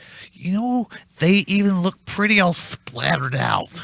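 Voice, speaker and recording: A man's put-on character voice, high-pitched and lively in intonation at a moderate pace, with a dry, close sound and no echo. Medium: comedy sketch. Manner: goofy, slow.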